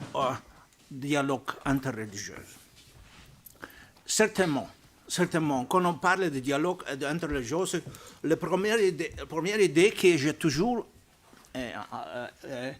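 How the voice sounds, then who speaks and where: A man's fairly high voice with a non-native accent, lively intonation, a fairly slow pace and long, frequent pauses. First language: not French (speaking French). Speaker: archbishop and Vatican diplomat. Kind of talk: panel talk. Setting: press club debate with audience. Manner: halting.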